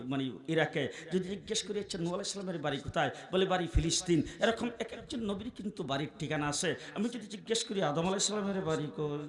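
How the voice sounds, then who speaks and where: Amid noticeable background noise, a man with a high voice speaks in an animated tone with ordinary pitch variation. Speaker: Islamic preacher. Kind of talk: sermon. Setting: stage with audience.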